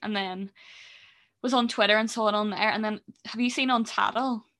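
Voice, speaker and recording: A woman with a Northern Irish accent speaks at a fairly quick pace in a bright, sharp tone, on a very clean recording with a silent background. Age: 20s. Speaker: podcast co-host. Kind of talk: casual chat. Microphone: new gaming mic.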